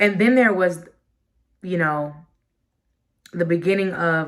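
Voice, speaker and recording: Here a woman speaks at a fairly low pitch. Her pitch variation is ordinary. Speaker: vlogger and musician. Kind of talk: personal vlog monologue. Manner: halting, stuttering.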